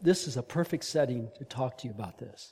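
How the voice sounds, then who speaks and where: Somewhat breathy and dark, mellow in tone, a man speaks at a fairly quick pace. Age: 70s. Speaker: leadership trainer and speaker at men's ministry. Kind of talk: sermon.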